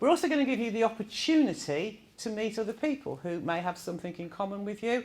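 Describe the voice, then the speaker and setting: At a very fast pace with hardly any pauses, a woman in a Birmingham accent swings her fairly high pitch very widely, on a very clean recording with a silent background. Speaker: event facilitator. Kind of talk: presentation to audience. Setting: room with live audience. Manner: informal, with filler words.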